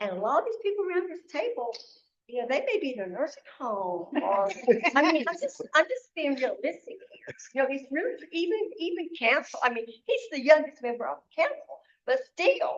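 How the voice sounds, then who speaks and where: A woman speaks at a moderate pace with very wide pitch swings. Her pitch is high. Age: 70s. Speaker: community member. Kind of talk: public meeting discussion. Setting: meeting room around a table.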